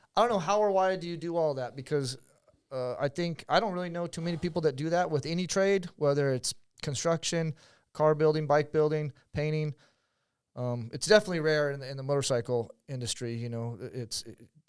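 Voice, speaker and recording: Here a man with a plain, everyday voice talks at a fairly quick pace and a fairly high pitch, with ordinary pitch variation. His loudness swings widely in a very clean recording with a silent background. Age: middle-aged. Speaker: podcast host. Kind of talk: casual interview chat.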